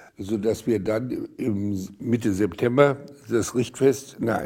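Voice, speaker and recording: The man's voice is fairly low in pitch with a dark, mellow tone and ordinary pitch variation. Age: 80s+. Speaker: retired eye surgeon. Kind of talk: documentary interview, personal recollection. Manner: hesitant, with many fillers.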